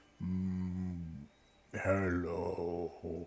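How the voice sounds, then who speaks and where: A booming, put-on character voice sits at a very deep, low pitch. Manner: greeting.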